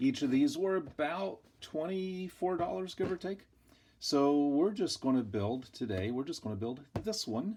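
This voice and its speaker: In a very clean recording with a silent background, a man with a dark, mellow tone and a relaxed manner moves through very wide pitch swings. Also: fairly high pitch for a man, moderate pace. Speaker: hobbyist model kit builder. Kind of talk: casual build tutorial.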